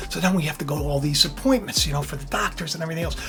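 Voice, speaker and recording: A man talks in an animated tone with very wide pitch swings. Music plays in the background. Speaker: faith video host. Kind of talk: casual spiritual talk. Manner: loud; animated, repetitive.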